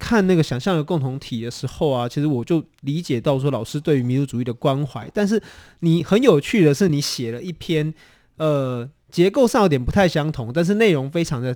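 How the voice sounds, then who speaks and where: A man with a dark, mellow tone speaks at a fairly high pitch with lively intonation. His pace is moderate, and the recording is very clean with a silent background. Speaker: radio host. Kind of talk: interview on a radio show. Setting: studio.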